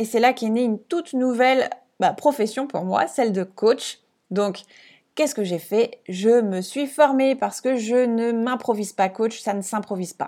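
A woman at a fairly high pitch with a dark, mellow tone, ordinary pitch variation and a fairly slow pace, in a very clean recording with a silent background. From France, Alsace. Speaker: podcast host and business coach. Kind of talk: casual solo monologue.

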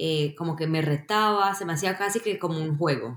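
With an unremarkable speaking voice, a woman talks at a moderate pace with ordinary pitch variation. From Colombia. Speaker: software engineer. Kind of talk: interview.

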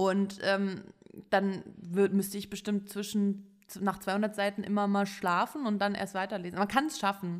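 In a medium pitch, a woman speaks at a fairly slow pace with monotone, flat intonation. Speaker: fashion podcast co-host. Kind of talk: casual chat. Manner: hesitant with many fillers.

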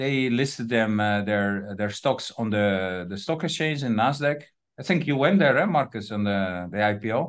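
With a Dutch accent, a man at medium pitch speaks at a moderate pace with lively intonation against a quiet background. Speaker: trade agency representative. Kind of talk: interview. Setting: video call. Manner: halting.

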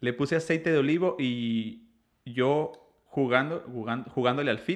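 Here is a man with an ordinary speaking voice. His pitch is medium and varies in an ordinary way. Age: 30s. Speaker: podcast host. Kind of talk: casual chat.

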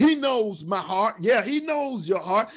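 Music plays in the background as a man speaks. His intonation is lively. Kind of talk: sermon, preacher in full flow, urgent pulpit exhortation. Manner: impassioned, forceful, warning and pleading with the congregation; storytelling cadence, repeating key phrases for emphasis.

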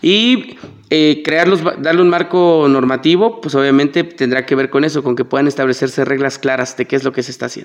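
A man speaks at a fairly quick pace with a fairly high pitch, over noticeable background noise. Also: ordinary pitch variation. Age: 30s. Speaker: political candidate. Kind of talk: interview. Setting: studio.

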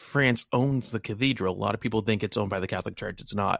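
In a normal speaking voice with an American accent, a man talks at a fairly low pitch with ordinary pitch variation, captured in a very clean recording with a silent background and a dry, close sound with no echo. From New England, US. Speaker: wargaming podcaster. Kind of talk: casual chat.

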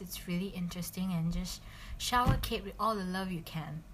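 A woman speaks at a medium pitch with fairly even intonation and a somewhat breathy voice. Room echo is audible. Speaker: podcast host. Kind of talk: casual podcast talk.

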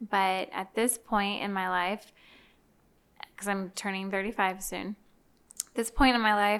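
A woman's fairly high, bright and sharp voice, flat and monotone, at a moderate pace. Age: 30s. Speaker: former teacher. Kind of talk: casual chat.

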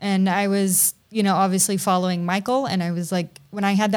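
A woman's ordinary speaking voice at medium pitch with an American accent, fairly quick in pace and fairly even in intonation, on a very clean recording with a silent background. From US South, Tennessee. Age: 30s. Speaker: content creator and photographer. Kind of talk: casual interview.

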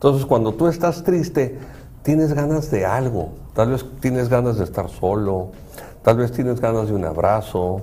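Somewhat breathy and dark, mellow in tone, a man speaks at medium pitch and a moderate pace with ordinary pitch variation. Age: 60s. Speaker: psychologist and show host. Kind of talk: casual chat.

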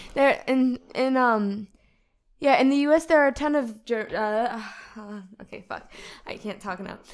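Using an American accent, a woman with a high pitch speaks at a fairly slow pace, with ordinary pitch variation and big swings in loudness. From United States. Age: 40s. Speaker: guest friend. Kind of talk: casual chat.

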